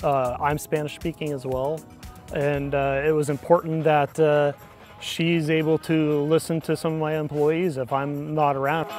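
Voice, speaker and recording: Faint music plays in the background as a man speaks at a moderate pace. The sound is dry with no echo. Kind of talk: interview answer. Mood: proud, warm about his dog. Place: open country. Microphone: lapel.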